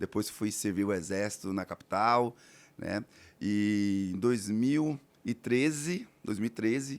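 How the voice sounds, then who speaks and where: A man with a northeastern Brazilian accent speaks at a very slow pace with a fairly low pitch and ordinary pitch variation. The recording is very clean, with a silent background. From Alagoas, Brazilian Northeast. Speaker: real estate entrepreneur. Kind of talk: podcast interview.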